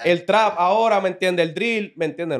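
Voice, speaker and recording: Against a quiet background, a man talks at a very fast pace in a high pitch. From Puerto Rico, Carolina. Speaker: religious teacher in podcast discussion. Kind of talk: casual religious discussion. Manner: halting, many repeated words. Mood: earnest, preaching tone. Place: studio. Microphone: studio mic.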